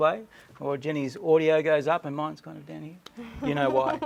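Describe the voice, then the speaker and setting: A man speaks at a moderate pace. Noticeable background noise sits under his words. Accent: Australian. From Australia. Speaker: cruise show co-host and photographer. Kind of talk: casual chat.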